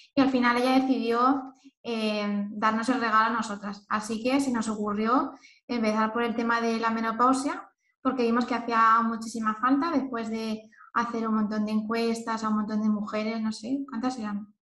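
The speaker is a woman with a fairly high pitch, talking at a moderate pace. Her intonation is monotone and flat. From Spain, Elche (Valencian region). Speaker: nutritionist. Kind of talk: casual chat.

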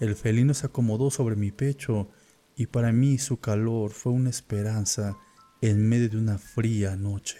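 Over music in the background, a man with a medium pitch speaks in an intense, dramatic tone with fairly even intonation. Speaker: horror story narrator. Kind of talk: dramatic first-person horror narration, scripted storytelling. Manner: dramatic, suspenseful, grave; slow, brooding, intense.

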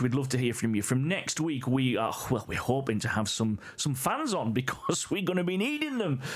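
The speaker uses lively intonation at a moderate pace. Noticeable background noise runs under the voice. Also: man. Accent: English. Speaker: podcast co-host. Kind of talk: casual chat. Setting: in a room together.

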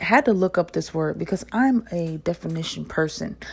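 On a very clean recording with a silent background, a woman with a slight New Jersey accent and a fairly low pitch speaks in an animated tone. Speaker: podcast host. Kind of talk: casual solo talk to listeners.

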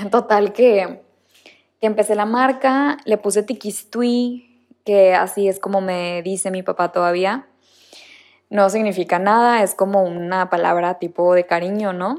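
A woman's normal speaking voice, medium in pitch with ordinary pitch variation, at a fairly slow pace on a very clean recording with a silent background. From Mexico, Monterrey. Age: 20s. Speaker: podcast host and new mother. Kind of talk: casual personal monologue.

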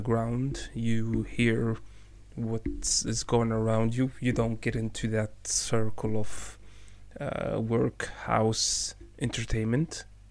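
Speaking with an Arabic accent, a man talks. His pace is very slow. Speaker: podcast co-host. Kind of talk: casual chat.

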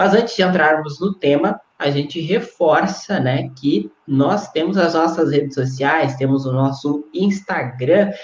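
A man's unremarkable speaking voice, fairly high for a man, at a fairly slow pace. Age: 20s. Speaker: web radio host. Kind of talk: casual interview.

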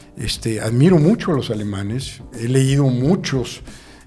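Music plays behind a man with a fairly high pitch. He talks at a fairly slow pace with lively intonation. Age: 60s. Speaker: business consultant. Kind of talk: interview.

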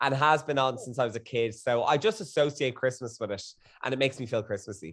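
A man's medium-pitched, animated voice in an Irish accent, over a quiet background. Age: 30s. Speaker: guest. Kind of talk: casual chat.

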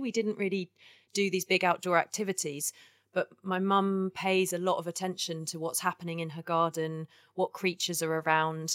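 At a moderate pace, a woman with a southern English accent speaks in a fairly low pitch, captured on a very clean recording with a silent background and a dry, close sound with no echo. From southern England (Kent). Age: 30s. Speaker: ecological artist. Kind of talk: interview.

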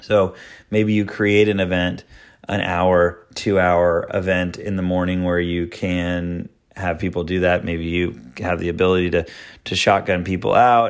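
The speech comes at a fairly slow pace with monotone, flat intonation on a very clean recording with a silent background. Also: man. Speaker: golf professional podcast host. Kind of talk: solo podcast monologue. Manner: casual, with fillers and restarts.

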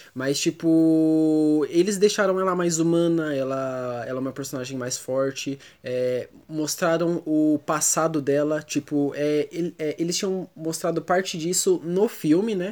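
A man at a fairly slow pace, fairly high in pitch, with ordinary pitch variation. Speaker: podcast co-host. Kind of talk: casual chat.

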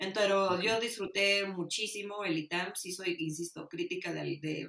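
Speaking at a fairly slow pace, a woman talks with a Mexican accent. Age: 30s. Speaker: political science graduate. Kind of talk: casual interview.

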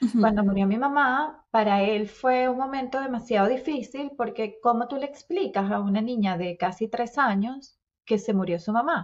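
Delivered in a plain, everyday voice at a moderate pace, the speech has ordinary pitch variation and hardly any pauses. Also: woman, fairly high pitch for a woman. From Venezuela. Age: 40s. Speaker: podcast co-host. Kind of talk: casual chat.

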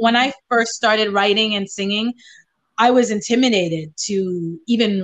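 A woman speaks in a fairly high pitch with ordinary pitch variation. Hers is an unremarkable speaking voice. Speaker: singer-songwriter. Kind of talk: casual interview chat.

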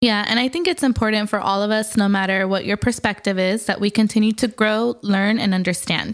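A woman with an American accent talks at a fairly quick pace in a normal speaking voice. Her pitch is medium, and the recording is very clean with a silent background. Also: ordinary pitch variation, very even loudness. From US, Mexican American. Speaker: podcast co-host. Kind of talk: casual chat.

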